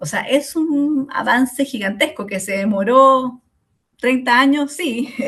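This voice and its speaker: Her voice high and her pitch varying in an ordinary way, a woman speaks very slowly. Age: 40s. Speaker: sociologist and course lecturer. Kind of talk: online lecture. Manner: hesitant, many fillers.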